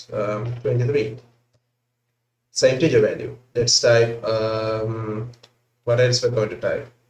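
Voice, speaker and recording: Somewhat breathy and monotone, a man of medium pitch speaks fairly slowly with long, frequent pauses. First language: not English. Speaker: programming tutor. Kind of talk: tutorial. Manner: hesitant, filler-heavy.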